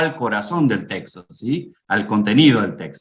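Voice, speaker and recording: The man's pitch rises and falls across a very wide range. He speaks neither fast nor slow, at a moderate pace. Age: 60s. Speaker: preacher and homiletics teacher. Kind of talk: lecture.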